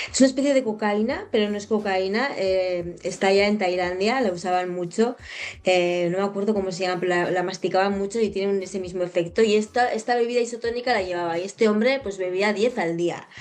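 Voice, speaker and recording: A woman at medium pitch, fairly quick with hardly any pauses and ordinary pitch variation, over noticeable background noise. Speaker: podcast host and hypnotherapist. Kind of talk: casual interview chat.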